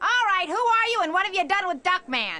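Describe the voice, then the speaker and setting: In a cartoonish character voice, a female-sounding speaker talks at a fairly quick pace with an extremely high pitch. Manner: brusque, sneering.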